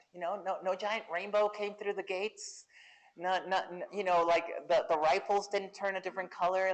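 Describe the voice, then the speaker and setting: A woman with a Spanish accent talks at medium pitch and a moderate pace, with ordinary pitch variation, against a quiet background. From central Mexico. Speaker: Air Force veteran and LGBTQ+ advocate. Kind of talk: fireside chat interview. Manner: halting, with repeated false starts.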